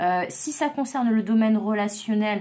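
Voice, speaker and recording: A woman's fairly high voice rises and falls with lively intonation. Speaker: psychic tarot reader. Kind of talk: tarot reading monologue. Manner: stumbling, hesitant fillers.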